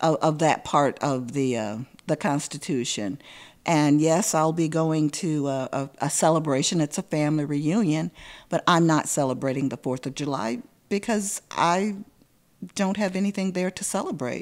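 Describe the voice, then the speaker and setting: With a Southern US accent, a woman speaks in a very deep, low pitch. Her intonation is lively. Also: moderate pace, very clean recording, silent background. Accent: Southern US (Georgia). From US South, rural Hancock County, Georgia. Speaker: professional storyteller. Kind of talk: interview conversation. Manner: thoughtful, with fillers and repetitions.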